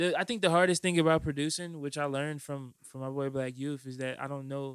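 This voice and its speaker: In a very clean recording with a silent background, a man speaks at a fairly high pitch with fairly even intonation. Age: 20s. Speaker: podcast host and rapper. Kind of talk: casual chat.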